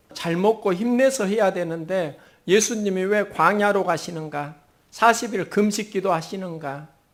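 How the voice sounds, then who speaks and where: The man's voice is high in pitch. He speaks at a fairly slow pace. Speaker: pastor. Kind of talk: sermon. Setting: church.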